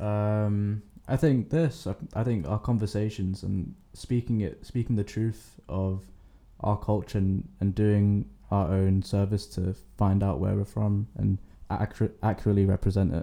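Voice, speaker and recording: In a London accent, a man talks at a fairly slow pace with a fairly low pitch and ordinary pitch variation. His tone is dark and mellow, and the recording is very clean with a silent background. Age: young. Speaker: university student. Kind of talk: casual chat.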